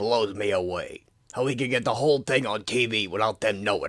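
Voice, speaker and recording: A man puts on a raspy character voice at a medium pitch, talking at a fairly quick pace with fairly even intonation and big swings in loudness. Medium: audio drama. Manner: swaggering, tough-guy.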